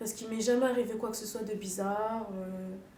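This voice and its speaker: Amid noticeable background noise and audible room echo, a woman talks at a fairly slow pace with a fairly high pitch and fairly even intonation. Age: young. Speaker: documentary interviewee. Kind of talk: interview testimony.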